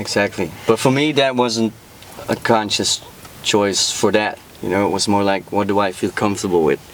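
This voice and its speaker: Over noticeable background noise, a man with a Dutch accent speaks at a moderate pace and fairly low pitch with ordinary pitch variation. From Netherlands. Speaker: rapper. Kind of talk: casual interview chat.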